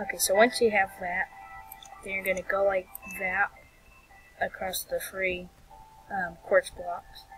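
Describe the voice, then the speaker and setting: Fairly slow speech with music in the background. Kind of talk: game tutorial narration. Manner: casual, rambling.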